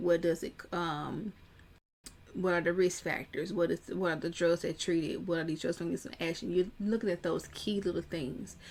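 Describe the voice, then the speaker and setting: With vocal fry, a woman talks at a moderate pace in a fairly low register, her pitch varying in an ordinary way. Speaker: pharmacist exam coach. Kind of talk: tutorial.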